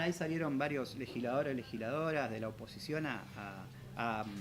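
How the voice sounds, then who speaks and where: A man talks at a fairly quick pace with a Rioplatense accent. Audible room echo surrounds his voice. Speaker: civic official and activist. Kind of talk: interview. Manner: fast.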